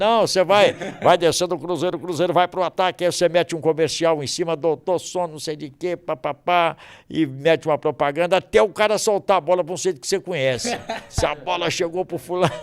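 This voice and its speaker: Pitch varies in an ordinary way as the words come at a fairly quick clip. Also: man, high pitch for a man. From Minas Gerais, Brazil. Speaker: sports radio announcer. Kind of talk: interview answer. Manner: good-humored.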